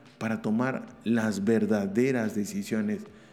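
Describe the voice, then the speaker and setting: An animated man talks with lively intonation amid audible room echo. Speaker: podcast host, business school CEO. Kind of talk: informative monologue.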